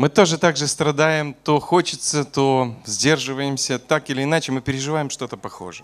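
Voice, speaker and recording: In an ordinary speaking voice, a man talks at a fairly high pitch with ordinary pitch variation and hardly any pauses. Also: moderate pace. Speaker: preacher. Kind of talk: sermon. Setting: church. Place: church. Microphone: podium.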